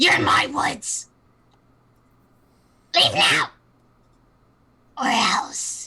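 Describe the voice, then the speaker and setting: A high, raspy put-on character voice moves at a very slow pace. Long pauses come frequently. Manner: threatening, commanding.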